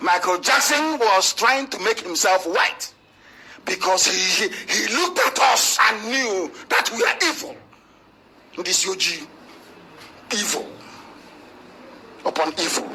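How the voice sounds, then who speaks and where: There are long, frequent pauses as a man talks with very wide pitch swings. Noticeable background noise is audible. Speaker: separatist movement leader. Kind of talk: live radio broadcast speech. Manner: angry, emphatic, ranting.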